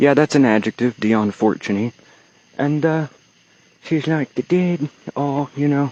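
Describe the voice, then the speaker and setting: A man's dark, mellow voice with ordinary pitch variation, a fairly slow pace and long, frequent pauses, in a dry, close sound with no echo against a quiet background. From Texas. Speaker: occult vlogger. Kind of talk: casual vlog monologue. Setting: outdoors, walking from a cemetery at night. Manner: rambling with fillers and pauses.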